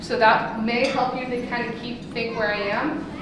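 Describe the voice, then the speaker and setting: This woman's voice is fairly high in pitch, with monotone, flat intonation. The room echo is audible, and background noise is noticeable. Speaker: state wildlife agency presenter. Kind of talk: lecture. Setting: lunch talk with live audience. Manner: loud; fast.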